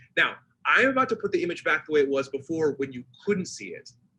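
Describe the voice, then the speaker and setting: A man speaks in a raised, projected voice with an animated tone, a bright, sharp quality and very wide pitch swings. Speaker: leadership consultant and speaker. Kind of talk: presentation talk. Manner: fast.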